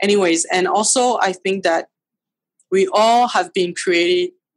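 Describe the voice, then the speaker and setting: A woman speaks with fairly even intonation in a dry, close recording with no echo. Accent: French. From France, Paris. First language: French. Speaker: photographer. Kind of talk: interview. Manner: halting.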